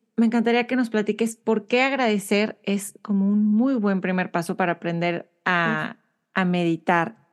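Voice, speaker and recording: A woman of medium pitch speaks in a normal speaking voice at a fairly slow pace with ordinary pitch variation. Her loudness stays very even over a quiet background. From Monterrey, Mexico. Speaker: podcast host. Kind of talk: interview conversation.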